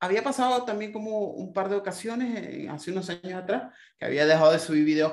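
The man has an ordinary speaking voice. His intonation is lively and his pace moderate. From Venezuela, Maracaibo. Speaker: designer and YouTube creator. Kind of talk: casual chat.

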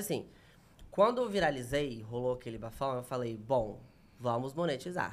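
Lively intonation marks a man's delivery in an unremarkable speaking voice at a moderate tempo. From Minas Gerais, Brazil (near Bahia border). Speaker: comedian. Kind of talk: casual chat.

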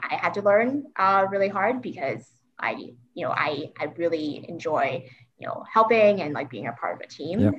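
A woman's fairly low voice with vocal fry and very wide pitch swings, at a moderate pace. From Hong Kong. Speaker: accountant and scout leader. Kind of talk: casual interview conversation. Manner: filler-heavy, conversational.

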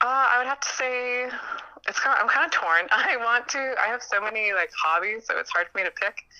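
A woman with a Canadian accent, high-pitched and lively in intonation, at a moderate pace with hardly any pauses, amid noticeable background noise. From Canada. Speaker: journalism student. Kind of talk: casual interview chat.

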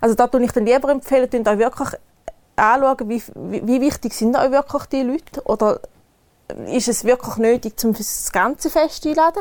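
A woman speaks at a moderate pace in an eastern Swiss accent. Her pitch is high, with ordinary variation. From eastern Switzerland, canton Thurgau. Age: 30s. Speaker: wedding planner. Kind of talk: casual interview chat.

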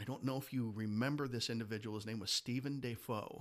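A man's normal speaking voice at medium pitch, with an American accent and ordinary pitch variation. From Detroit, Michigan. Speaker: Masonic leader. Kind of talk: casual interview.

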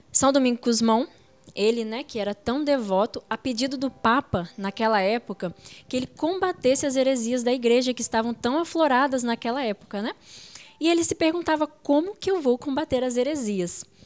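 Speaking at a moderate tempo, a woman uses a high pitch and lively intonation. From Brazil, Espírito Santo (Muniz Freire). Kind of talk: religious teaching interview. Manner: frequent fillers and hesitations.

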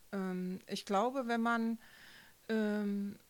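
Intonation stays fairly even while the words come at a very slow pace. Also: woman. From Thuringia, East Germany. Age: 50s. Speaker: teacher. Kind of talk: casual interview. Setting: studio.

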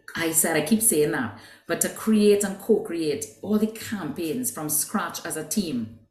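Somewhat breathy and lively in intonation, a woman speaks with audible room echo. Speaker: business executive. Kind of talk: interview.

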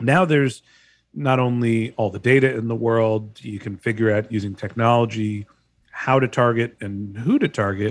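On a very clean recording with a silent background, a man with an ordinary speaking voice talks at medium pitch and a moderate pace, with ordinary pitch variation. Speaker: podcast host. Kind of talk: casual interview.

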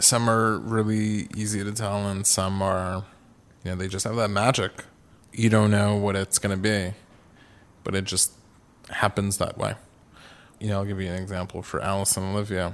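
A man speaks at a moderate pace with long, frequent pauses. His fairly low voice is monotone and flat. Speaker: eyewear company founder. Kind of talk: interview.

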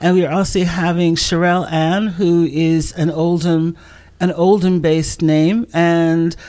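She has an ordinary speaking voice, a woman talking fairly slowly at a fairly low pitch. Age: 60s. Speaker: literature organization worker and writer. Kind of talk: casual chat.

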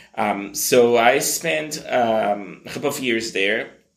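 Speaking very slowly in a medium pitch, a man is heard with audible room echo. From Brazil. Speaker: marketing executive. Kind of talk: interview.

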